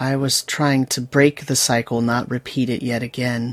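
Using a put-on character voice, a man speaks at a moderate pace in a monotone, flat delivery. The recording is very clean, with a silent background. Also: medium pitch for a man. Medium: actual play. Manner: terse.

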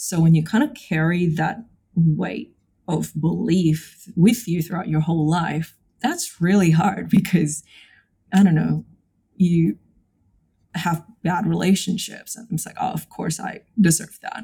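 Her fairly low-pitched voice has a dark, mellow tone and vocal fry, moving at a fairly slow pace with long, frequent pauses and big swings in loudness. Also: ordinary pitch variation. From Indonesia. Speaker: psychologist. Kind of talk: casual chat.

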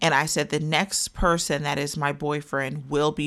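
This woman has a very deep, low pitch and vocal fry, with an American accent. The recording is very clean, with a silent background. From Wichita, Kansas. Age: young. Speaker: relationship coach. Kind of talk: casual interview conversation.

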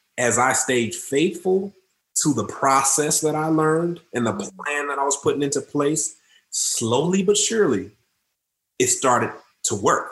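A man with a normal speaking voice, fairly high in pitch, lively intonation, a moderate pace, and an American accent. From Detroit, Michigan, US. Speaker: mortgage and finance professional. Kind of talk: podcast interview.

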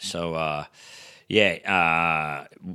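A man with a rural Australian accent, bright, sharp tone, and a very clean recording over a silent background. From rural New South Wales-Queensland border, Australia. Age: 40s. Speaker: stand-up comedian. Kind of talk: casual chat.

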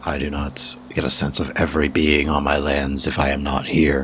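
A man's put-on character voice, very deep and low, raspy and flat in intonation, at a moderate pace over clear background noise. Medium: actual play. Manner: formal, deliberate, no contractions.

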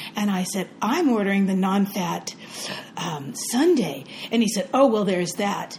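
Over noticeable background noise, a woman with a medium pitch speaks at a fairly slow pace with lively intonation. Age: 60s. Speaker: podcast co-host. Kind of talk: casual chat.

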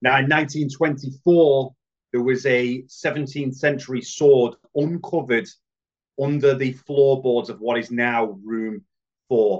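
A man speaks with a British accent at a medium pitch. His pace is very slow and his intonation fairly even. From United Kingdom. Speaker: paranormal investigator and TV presenter. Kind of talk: storytelling.

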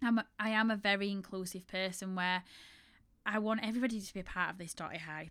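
A woman with a strong Yorkshire accent, fairly quick in pace and fairly even in intonation, on a very clean recording with a silent background. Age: 30s. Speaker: bridal shop owner and podcast host. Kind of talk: casual solo storytelling monologue.

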